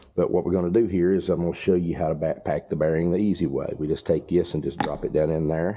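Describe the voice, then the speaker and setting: A man with a Southern US accent talks at a very fast pace with hardly any pauses. His very deep, low voice has a dark, mellow tone and fairly even intonation. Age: 60s. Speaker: farmer and mechanic. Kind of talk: tutorial. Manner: casual, folksy.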